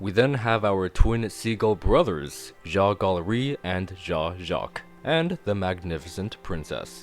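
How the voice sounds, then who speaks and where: Over music in the background, a man with a fairly low pitch talks with lively intonation and hardly any pauses. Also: fairly slow pace. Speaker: video reviewer. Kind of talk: casual talk to camera. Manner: enthusiastic.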